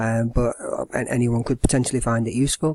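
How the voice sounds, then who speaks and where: The tone here is dark and mellow. It belongs to a man with an English accent. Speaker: secondary school business teacher. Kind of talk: educational tutorial. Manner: fast.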